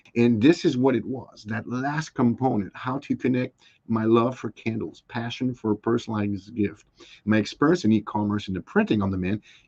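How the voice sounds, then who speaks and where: A man's medium-pitched voice at a fairly quick pace, with ordinary pitch variation and a dry, close sound with no echo. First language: not English. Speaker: small business owner. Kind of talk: interview. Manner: halting.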